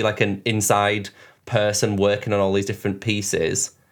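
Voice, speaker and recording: This man speaks with a northern English accent at a moderate pace and a fairly low pitch. The recording is very clean, with a silent background. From northern England, Leeds. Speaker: podcast host, fashion designer and drag queen. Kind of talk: casual interview chat.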